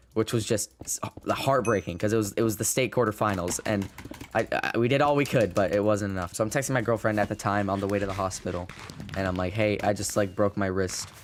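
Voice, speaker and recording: Over noticeable background noise, a man talks very fast in a fairly low pitch. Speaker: gaming YouTuber. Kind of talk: gameplay commentary. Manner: halting, stutters and repeats words; casual, swears.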